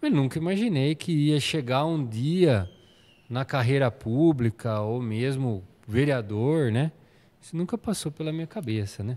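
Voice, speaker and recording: Dark and mellow in tone, a man of medium pitch speaks at a fairly slow pace with lively intonation. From São Paulo state, Brazil. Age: 40s. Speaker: municipal planning secretary, architect; interview guest. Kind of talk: interview. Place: studio. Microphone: studio mic.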